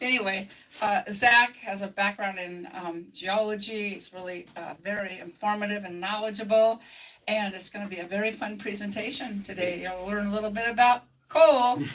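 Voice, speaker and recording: A woman at a moderate pace, with fairly even intonation, big swings in loudness, and noticeable background noise. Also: medium pitch for a woman. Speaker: museum volunteer. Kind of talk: event introduction. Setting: museum with live audience. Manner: loud, projecting.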